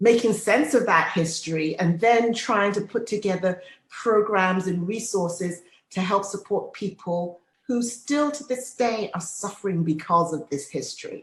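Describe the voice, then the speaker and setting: A woman speaks at a moderate pace with ordinary pitch variation. Her voice is somewhat breathy. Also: medium pitch for a woman. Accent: English. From England. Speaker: midwife. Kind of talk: podcast interview.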